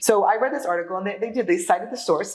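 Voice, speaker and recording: A woman talks at a very fast pace in an animated tone. She has an American accent. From New York. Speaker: real estate data analyst. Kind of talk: interview.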